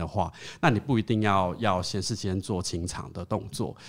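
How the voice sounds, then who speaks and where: With a plain, everyday voice, a man talks fairly low in pitch and with fairly even intonation, the recording very clean and the background silent. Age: 30s. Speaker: LGBT hotline volunteer. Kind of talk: casual chat.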